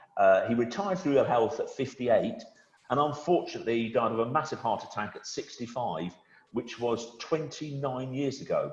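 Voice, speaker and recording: Speaking at a moderate pace, a man with a fairly high pitch uses lively intonation and sounds somewhat breathy. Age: 60s. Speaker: wealth manager. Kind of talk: webinar conversation. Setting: video call. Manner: conversational, with frequent hesitations.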